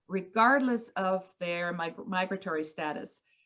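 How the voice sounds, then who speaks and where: With a Spanish accent, a woman speaks at a fairly slow pace. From Colombia. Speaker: environmental advocate. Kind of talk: panel discussion. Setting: video call.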